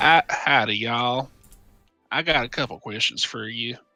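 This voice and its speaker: A raspy, put-on character voice in a Southern US accent speaks at a moderate pace with fairly even intonation while music plays in the background. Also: man, medium pitch for a man. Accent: Southern American. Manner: exaggerated, comical.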